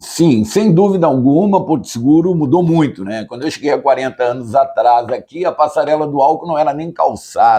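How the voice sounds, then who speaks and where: A man talks at a fairly quick pace with a fairly high pitch. His tone is dark and mellow, and his intonation lively. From southern Brazil, Passo Fundo, Rio Grande do Sul. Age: 60s. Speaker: lawyer. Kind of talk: interview. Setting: lawyer's office.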